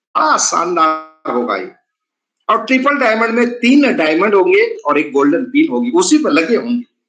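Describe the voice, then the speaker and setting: In an animated tone, a man speaks at an extremely high pitch with very wide pitch swings. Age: 60s. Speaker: network marketing presenter. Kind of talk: sales pitch.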